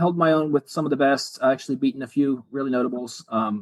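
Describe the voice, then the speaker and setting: The pace is fairly quick as a man speaks. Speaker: retired police officer and car builder. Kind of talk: podcast interview. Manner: fast.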